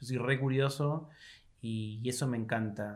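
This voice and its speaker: In a Rioplatense accent, a man speaks with monotone, flat intonation amid audible room echo. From Argentina, Buenos Aires province. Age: 40s. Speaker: philosopher and university professor. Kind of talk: interview conversation.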